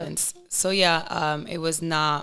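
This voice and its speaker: Against a very clean recording with a silent background, a woman with a Spanish accent speaks in a bright, sharp tone at a very slow pace. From Providence, Rhode Island, US; Dominican family. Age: 20s. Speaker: podcast guest, fitness competitor. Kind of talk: casual chat.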